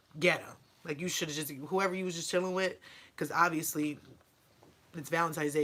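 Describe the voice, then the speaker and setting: At a fairly quick pace, a woman with a fairly low voice speaks in an animated tone. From upstate New York, Rochester. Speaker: YouTuber, mother. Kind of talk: casual Q&A vlog.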